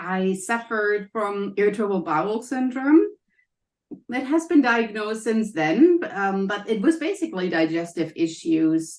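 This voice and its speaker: A woman with a German accent talks at a moderate pace in a fairly high pitch. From Germany. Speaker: health coach and college professor. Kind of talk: interview.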